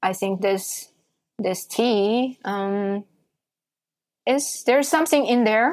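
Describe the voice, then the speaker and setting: A woman speaks with a Chinese accent. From China. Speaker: tea event organizer. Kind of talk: interview. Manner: halting.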